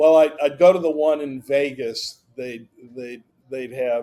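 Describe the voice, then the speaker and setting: At a fairly slow pace, a man talks with a fairly high pitch, a dark, mellow tone and fairly even intonation. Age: 70s. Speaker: former hobby industry employee, art collector. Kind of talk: casual interview.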